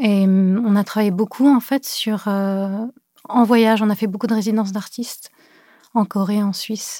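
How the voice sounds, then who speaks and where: In a very clean recording with a silent background and a dry, close sound with no echo, a woman speaks at a fairly slow pace in a dark, mellow, somewhat breathy tone with fairly even intonation. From Cameroon and France (born in Beirut). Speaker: visual artist. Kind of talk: interview. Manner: hesitant, many fillers.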